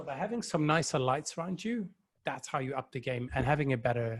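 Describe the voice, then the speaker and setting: With a Dutch accent, a man talks at a fairly quick pace in a somewhat breathy voice. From Netherlands. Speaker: virtual facilitation trainer. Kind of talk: live stream chat.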